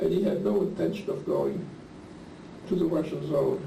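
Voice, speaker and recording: Fairly quick speech from a man amid audible room echo. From Lithuania (Klaipeda), German-speaking. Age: 70s. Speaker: Holocaust survivor. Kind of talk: oral history interview.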